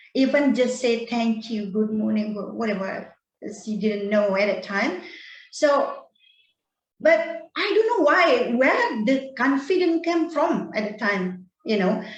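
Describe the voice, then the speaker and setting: Audible room echo surrounds a woman with a fairly high pitch who talks at a fairly slow pace with lively intonation. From Bali, Indonesia. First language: Indonesian or Balinese. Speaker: storytelling guest, English learner. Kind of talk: personal story in casual online chat. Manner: halting, many fillers and repeats.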